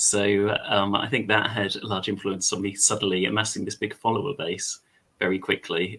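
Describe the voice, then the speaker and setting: A fairly low-pitched man with an English accent at a fairly quick pace. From England. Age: 30s. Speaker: content creator. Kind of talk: casual chat. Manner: hesitant, many fillers.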